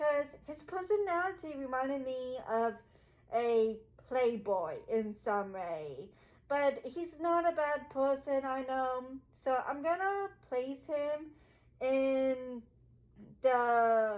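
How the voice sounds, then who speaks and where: A woman speaks loudly at a very slow pace, her pitch high. Her intonation is lively. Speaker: gaming video creator. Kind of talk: casual vlog commentary. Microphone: muffled by face mask.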